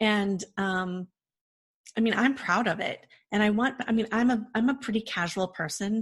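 Somewhat breathy, a woman speaks at a fairly high pitch. Her pace is moderate and her pitch variation ordinary. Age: 40s. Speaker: event production company founder, former jazz singer. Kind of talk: interview. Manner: casual.

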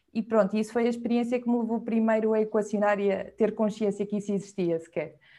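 Very fast and almost without pauses, this dark, mellow voice stays monotone and flat over a quiet background. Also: woman, fairly high pitch for a woman. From Portugal, Viseu. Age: 20s. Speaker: freelance video director and editor. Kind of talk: casual interview conversation.

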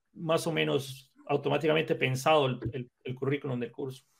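A man speaks at a moderate pace. His voice has vocal fry. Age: 30s. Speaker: programming instructor and content creator. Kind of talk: casual chat.

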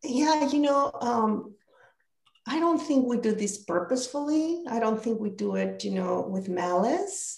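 Very wide pitch swings from a woman with a fairly high pitch and a Spanish accent, at a fairly slow pace. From Mexico. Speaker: leadership coach. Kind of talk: interview conversation.

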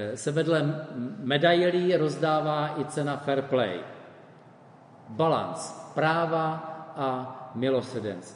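Amid noticeable background noise and audible room echo, the voice moves at a very slow pace with ordinary pitch variation. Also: man. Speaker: preacher. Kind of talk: sermon.

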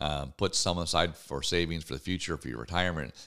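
A man talks at a fairly quick pace in a very deep, low voice with vocal fry and a bright, sharp tone. The recording is very clean, with a silent background. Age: 50s. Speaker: radio talk show host. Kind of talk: opinion talk show monologue. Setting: radio studio. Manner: halting.

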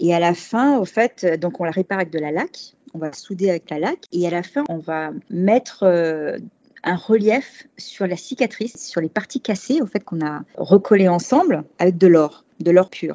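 A woman's ordinary speaking voice at a fairly slow pace, with hardly any pauses. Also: medium pitch for a woman, lively intonation. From Paris, France. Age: 40s. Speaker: expat cooking workshop host. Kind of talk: interview conversation.

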